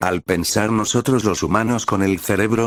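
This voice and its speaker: A man's unremarkable speaking voice at a fairly low pitch and a moderate pace, dry and close with no echo, in a very clean recording with a silent background. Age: 60s. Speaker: retired pastor. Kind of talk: preaching.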